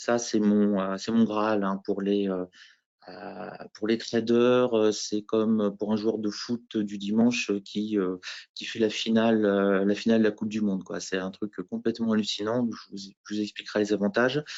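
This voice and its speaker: A fairly slow man at a fairly low pitch, with monotone, flat intonation. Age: 50s. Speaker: professional futures trader, former teacher. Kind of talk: interview self-presentation at conference. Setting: trading conference.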